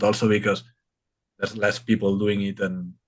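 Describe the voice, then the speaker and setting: A man's fairly low voice at a moderate pace. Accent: strong Spanish. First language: Spanish. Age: 30s. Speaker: reptile content creator. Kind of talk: casual chat.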